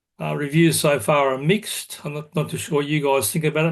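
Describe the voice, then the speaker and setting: With an Australian accent, a man talks in a fairly high pitch with fairly even intonation. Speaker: society meeting host. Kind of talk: online meeting announcements. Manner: hesitant, many fillers.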